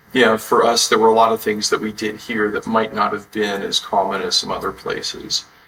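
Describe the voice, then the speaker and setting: A man with an American accent talks at a fairly quick pace with hardly any pauses, over noticeable background noise. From Texas. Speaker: entrepreneur. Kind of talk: interview.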